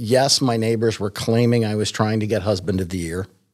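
A man with a normal speaking voice and medium pitch talks at a fairly quick pace with ordinary pitch variation. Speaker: bassist, guest. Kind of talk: casual chat.

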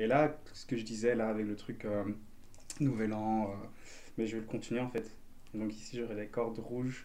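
Amid audible room echo, a man with a medium pitch and a dark, mellow tone speaks in a monotone, flat intonation at a moderate pace with long, frequent pauses. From Belgium. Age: 20s. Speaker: dancer and martial arts teacher. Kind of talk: casual chat.

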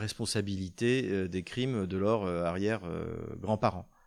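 Against a silent background on a very clean recording, a man talks with ordinary pitch variation. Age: 50s. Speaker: geopolitics video host. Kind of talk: news commentary monologue. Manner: halting, frequent hesitations.

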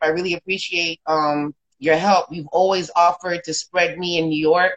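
A woman speaks with an American accent. Her pitch is fairly low and her intonation monotone and flat. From South Florida. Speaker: podcast host and SEO marketer. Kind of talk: casual interview. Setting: Instagram Live.

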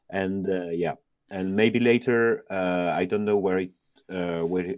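A French accent with ordinary pitch variation. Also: man. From France. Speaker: software developer, open-source contributor. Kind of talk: casual interview chat. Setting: phone call. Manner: halting, many fillers.

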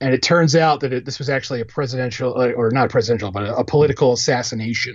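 At a very fast pace with hardly any pauses, a man with an American accent talks at medium pitch, somewhat breathy, with fairly even intonation. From Philadelphia, US. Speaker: film critic. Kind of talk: casual chat.

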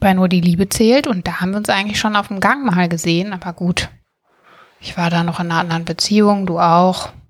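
A woman with an ordinary speaking voice talks fairly quickly at medium pitch, her intonation fairly even. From Germany, Bergisches Land (Schwelm, near Wuppertal). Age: 30s. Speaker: podcast co-host, TV production background. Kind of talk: casual chat.

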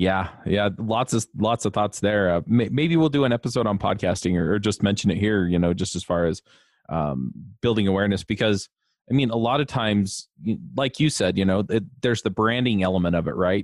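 An ordinary speaking voice goes at a fairly quick pace, its intonation lively and its loudness very even. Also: man, fairly low pitch for a man. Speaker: podcast host. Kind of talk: interview, casual chat.

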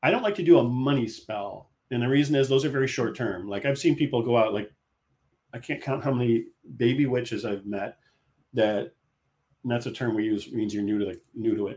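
A man with a medium-pitched voice and ordinary pitch variation. He talks at a fairly quick pace in an ordinary speaking voice. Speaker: author. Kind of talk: casual interview chat.

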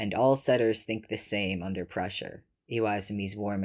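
Someone is reading aloud in a natural voice with fairly even intonation against a quiet background.

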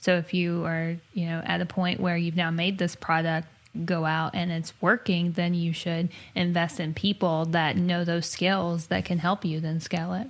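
Her intonation is monotone and flat. The woman speaks at a moderate pace with a fairly low pitch. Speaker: podcast co-host and software developer. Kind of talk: casual chat. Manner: laughs often, chatty.

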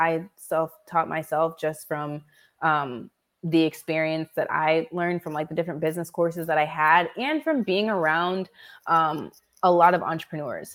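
A woman speaks at a moderate pace with fairly even intonation and a fairly low pitch, in a plain, everyday voice. The recording is very clean, with a silent background. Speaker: copywriter and entrepreneur. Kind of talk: interview.

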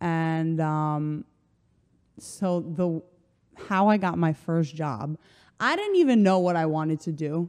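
Against a quiet background, someone with an American accent speaks at a very slow pace, with ordinary pitch variation and long, frequent pauses. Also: woman, fairly low pitch for a woman. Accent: American, sounds like New Jersey. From Slovenia. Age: 20s. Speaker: personal trainer. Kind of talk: casual chat.

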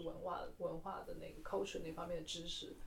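Against noticeable background noise, a woman talks at a very fast pace, her pitch medium with ordinary variation. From mainland China. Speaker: museum worker and podcast co-host. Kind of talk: casual chat.

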